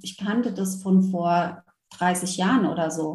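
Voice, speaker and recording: Audible room echo surrounds the voice. The woman talks very slowly. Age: 40s. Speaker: former corporate manager who went through burnout. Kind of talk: interview.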